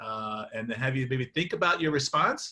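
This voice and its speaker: Bright, sharp tone from a man at a fairly quick pace, with ordinary pitch variation. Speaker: workshop facilitator. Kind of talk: facilitated group discussion. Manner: fast; halting, many fillers.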